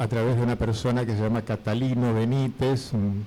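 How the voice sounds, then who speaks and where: In a dark, mellow tone, a man talks with fairly even intonation. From Formosa, northern Argentina. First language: Guaraní (speaking Spanish). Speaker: retired teacher and Guaraní translator. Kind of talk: radio interview.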